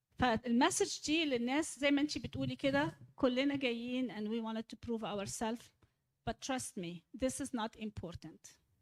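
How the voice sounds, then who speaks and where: In an Egyptian accent, a woman speaks at a moderate pace with lively intonation, the sound dry and close with no echo. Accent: deep Egyptian Arabic. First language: Egyptian Arabic. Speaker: church speaker leading a discussion. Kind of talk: church talk with audience questions, English mixed with Arabic.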